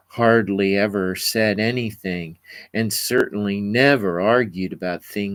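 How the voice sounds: A natural reading voice with fairly even intonation carries the words.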